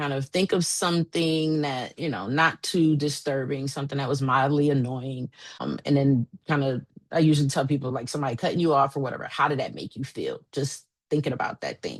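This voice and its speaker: A woman's very deep, low voice at a fairly quick pace, with fairly even intonation. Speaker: therapist and coach. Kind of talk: presentation to a small group.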